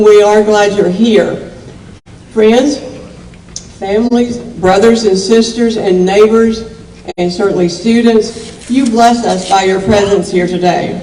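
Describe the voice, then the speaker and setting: With an Appalachian accent, a woman at a fairly high pitch speaks at a fairly slow pace with fairly even intonation, amid noticeable background noise and audible room echo. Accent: Southern Appalachian US. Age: 70s. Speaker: county commission chair. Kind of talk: public speech.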